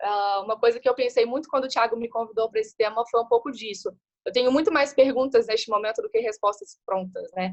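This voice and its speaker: A woman with a fairly high voice talks at a fairly quick pace in fairly even intonation. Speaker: guest speaker on innovation. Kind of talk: webinar talk. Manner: fast.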